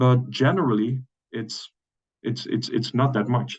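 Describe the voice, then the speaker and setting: A moderate pace with a Dutch accent. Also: man. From Netherlands. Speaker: webinar host. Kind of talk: webinar presentation. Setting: online webinar. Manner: halting, many fillers and repetitions.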